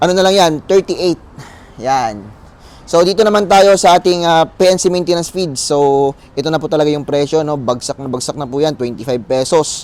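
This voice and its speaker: A man at a fairly high pitch with ordinary variation, moderate in pace, over noticeable background noise. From Philippines, South Cotabato. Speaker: feed store vendor. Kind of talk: sales pitch. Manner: upbeat, promotional, with filler pauses.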